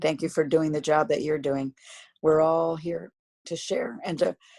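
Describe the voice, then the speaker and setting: In a put-on character voice, a woman sounds raspy, with a very deep, low pitch and a moderate pace. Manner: sincere, grateful.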